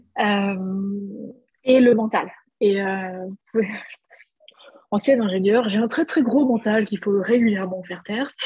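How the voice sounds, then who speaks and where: The speaker goes at a fairly slow pace with long, frequent pauses. Pitch varies in an ordinary way. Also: woman, medium pitch for a woman. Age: 30s. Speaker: business coach and entrepreneur. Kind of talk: casual interview.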